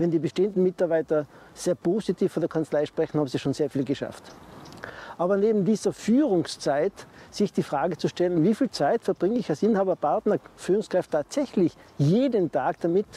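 The speaker talks at a fairly quick pace with lively intonation, in a dry sound with no echo. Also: man, high pitch for a man. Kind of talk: advice talk to camera. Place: garden. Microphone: lapel.

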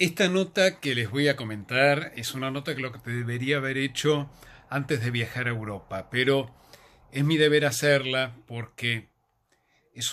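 Bright and sharp in tone, a man speaks at a fairly slow pace. His pitch variation is ordinary. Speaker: theatre reviewer. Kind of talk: casual vlog chat recommending a play. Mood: warm, reflective. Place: home room. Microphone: phone near.

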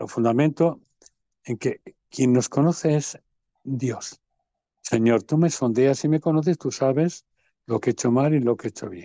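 Over a quiet background, a man with a fairly high pitch and a dark, mellow tone speaks at a fairly slow pace with long, frequent pauses and ordinary pitch variation, the sound dry with no echo. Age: 70s. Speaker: parish priest. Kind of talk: interview. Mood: earnest, preaching tone. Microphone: video call.

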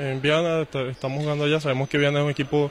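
Over light background noise, a man talks in a fairly high pitch with monotone, flat intonation. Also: dry sound with no echo. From Venezuela. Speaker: volleyball player; volleyball coach. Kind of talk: pre-match interview. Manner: halting, many repetitions and fillers. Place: hall. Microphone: handheld.

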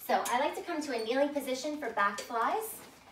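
A woman speaks at a high pitch with a fairly bright tone. Room echo is audible.

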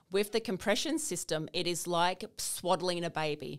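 A woman's fairly low pitch comes through against a quiet background. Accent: Australian. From Australia. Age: 40s. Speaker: naturopath, lymphatic specialist; guest. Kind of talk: interview, explaining. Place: studio. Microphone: studio mic.

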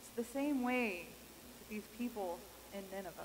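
With light background noise behind her, a woman talks with an American accent. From Kansas. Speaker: pastor. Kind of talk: sermon. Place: church.

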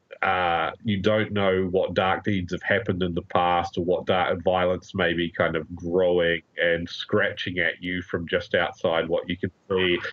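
A man with a New Zealand accent speaks in a very deep, low, flat monotone. His pace is fairly slow, with hardly any pauses. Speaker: crime fiction critic. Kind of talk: casual interview.

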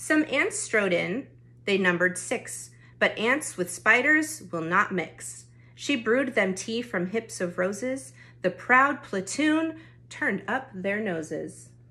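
With a warm, gentle tone and vocal fry, a woman at medium pitch speaks at a very slow pace with very wide pitch swings against a quiet background. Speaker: youth club storyteller. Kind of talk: bedtime-style picture book read-aloud for kids. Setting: recorded at home during lockdown. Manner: gentle, rhythmic rhyming cadence; warm, friendly address to children.

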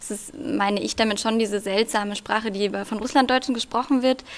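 Her intonation fairly even, a woman talks at a very fast pace. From Germany, Russian-German family. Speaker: poet; debut poet. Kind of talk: poetry reading; interview answer and poetry reading. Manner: hesitant with many fillers when talking. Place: stage. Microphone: podium.

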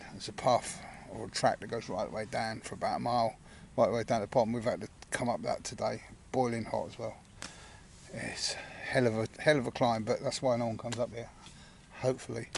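A man talks at medium pitch and a fairly quick pace, with vocal fry and fairly even intonation. Long pauses come often.

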